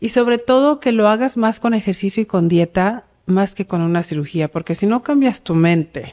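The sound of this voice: Her tone is dark and mellow. The woman speaks with few pauses.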